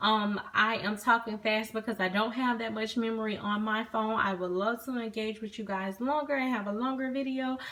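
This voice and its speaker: A woman's fairly high pitch, with ordinary pitch variation and a moderate pace. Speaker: product reviewer. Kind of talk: casual product review.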